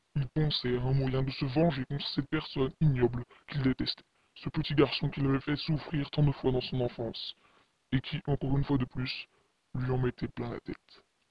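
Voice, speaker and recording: A man speaks in a put-on character voice at medium pitch and a moderate pace. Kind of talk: horror narration. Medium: read story. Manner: ominous, dramatic.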